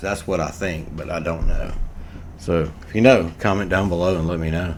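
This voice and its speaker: With an American accent, a man talks at a moderate pace in a very deep, low voice. Room echo is audible. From USA. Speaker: gaming YouTuber. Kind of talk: gameplay commentary. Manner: casual, rambling with many fillers.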